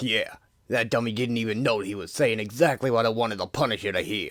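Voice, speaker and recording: A raspy, put-on character voice from a man, medium in pitch and at a very fast pace. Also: fairly even intonation. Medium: audio drama. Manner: swaggering, tough-guy.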